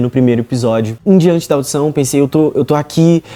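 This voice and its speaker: With a Carioca accent, a man talks at a fairly quick pace in a fairly high pitch, his tone dark and mellow and his pitch variation ordinary. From Rio de Janeiro, Brazil. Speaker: reality show contestant, singer. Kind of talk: interview, personal story.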